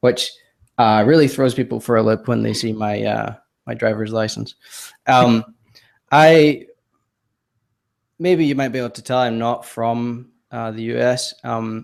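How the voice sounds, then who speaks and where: Speaking at a moderate pace with long, frequent pauses, a man talks with an American accent. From Scotland, Glasgow. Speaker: web developer and designer. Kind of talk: podcast interview. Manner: hesitant, many fillers.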